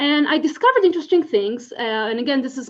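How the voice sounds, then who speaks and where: Speaking with an Israeli accent, a woman moves at a fairly quick pace. Her pitch shows ordinary variation. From Israel, Tel Aviv. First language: Hebrew. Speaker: legal scholar, conference speaker. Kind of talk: conference talk.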